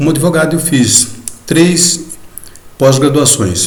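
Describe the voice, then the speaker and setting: A man speaks at a very slow pace, with noticeable background noise and audible room echo. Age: 70s. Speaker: journalist and lawyer. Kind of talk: video lecture to fellow masons. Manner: hesitant, conversational with fillers.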